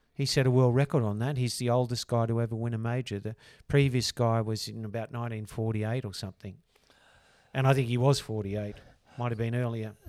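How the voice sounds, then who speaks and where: The speaker talks very fast with an Australian accent in a monotone, flat intonation. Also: man, medium pitch for a man. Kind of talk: casual chat.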